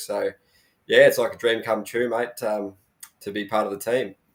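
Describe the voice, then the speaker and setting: A man speaks in an Australian accent. The recording is very clean, with a silent background. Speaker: motocross journalist. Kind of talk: casual panel chat.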